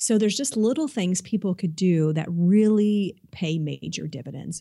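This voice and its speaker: A dark, mellow voice with ordinary pitch variation, in a very clean recording with a silent background. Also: woman. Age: 40s. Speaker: chiropractor. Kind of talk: casual chat. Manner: halting.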